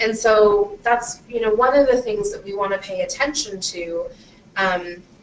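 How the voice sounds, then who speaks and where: Loud and fairly high-pitched, a woman speaks with ordinary pitch variation. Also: fairly slow pace. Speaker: panel moderator. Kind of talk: moderated panel discussion. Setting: panel event with audience, recorded on camera. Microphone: far from the camera.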